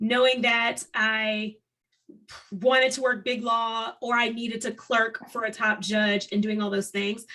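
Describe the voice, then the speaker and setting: Her fairly high pitch and bright, sharp tone come with a fairly slow pace and monotone, flat intonation from this woman. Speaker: law professor and podcast host. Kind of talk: casual chat; show outro. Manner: loud.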